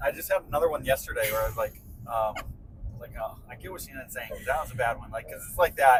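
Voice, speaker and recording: A man speaks at a fairly quick pace. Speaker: podcast co-host. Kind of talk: casual chat. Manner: soft-spoken.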